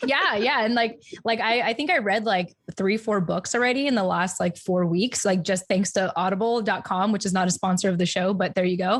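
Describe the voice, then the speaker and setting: Speaking with an American accent, a woman sounds animated at a fairly quick pace, her pitch medium and its variation ordinary. Her loudness stays very even, though background noise is noticeable. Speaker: podcast co-host. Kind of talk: casual chat. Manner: fast.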